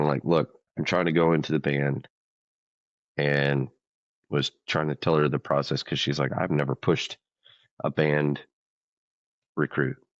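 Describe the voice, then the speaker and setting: With an American accent, a man speaks at a moderate pace in a very deep, low pitch and a monotone, flat intonation, the sound dry and close with no echo. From US South, rural Louisiana. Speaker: military vocalist. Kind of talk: interview storytelling. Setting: studio.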